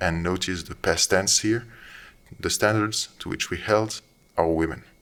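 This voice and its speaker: Speech comes at a fairly slow pace with fairly even intonation on a very clean recording with a silent background. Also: man, very deep, low pitch for a man. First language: not English. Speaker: commentator. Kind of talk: monologue commentary. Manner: halting.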